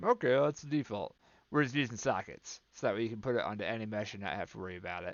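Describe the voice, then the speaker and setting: Speaking very fast with lively intonation, a man with a medium-pitched voice swings widely in loudness. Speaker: game developer. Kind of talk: tutorial. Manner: casual with filler words.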